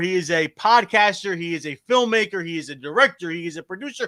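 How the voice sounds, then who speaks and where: In a strong New Jersey accent, a man speaks in a raised, projected voice that is high-pitched, with a bright, sharp tone on a very clean recording with a silent background. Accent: thick New Jersey. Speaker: livestream show host. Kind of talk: casual interview chat.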